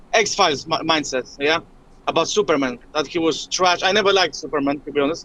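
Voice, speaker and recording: A man's fairly high, bright and sharp voice with a Polish accent at a fairly quick pace. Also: ordinary pitch variation. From Poland. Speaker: caller. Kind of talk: phone-in call. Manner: halting.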